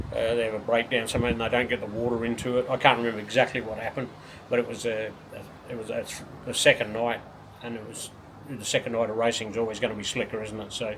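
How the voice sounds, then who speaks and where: A man talks at a very fast pace in a monotone, flat delivery, his loudness swinging widely. Noticeable background noise sits behind him. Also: medium pitch for a man. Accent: Australian. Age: 60s. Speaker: retired speedway racer and team owner. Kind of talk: casual interview. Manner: halting, many repetitions.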